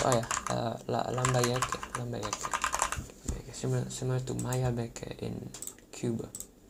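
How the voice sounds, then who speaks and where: Very slow speech over noticeable background noise. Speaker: geography YouTuber. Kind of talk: casual talk to camera. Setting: home recording with keyboard clicks, poor mic. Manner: casual, hesitant.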